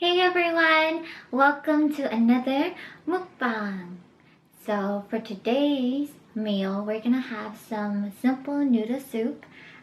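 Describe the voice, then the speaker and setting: With lively intonation, the words come out very slowly. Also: woman. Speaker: vlogger. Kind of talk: casual mukbang vlog. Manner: talkative.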